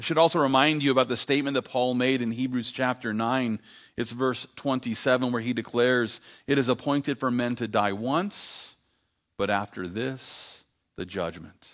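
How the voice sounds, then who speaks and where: A man speaks in a plain, everyday voice at a medium pitch with ordinary pitch variation. His pace is moderate, on a very clean recording with a silent background. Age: 50s. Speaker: pastor. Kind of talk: sermon.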